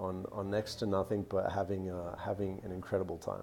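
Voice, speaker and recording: Speaking at a moderate pace, a man with an American accent uses a fairly low pitch. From Australia, also US and Canada. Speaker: vlogger and real estate investor. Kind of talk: live Q&A stream. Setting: coworking space cafe. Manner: hesitant, many fillers and repetitions.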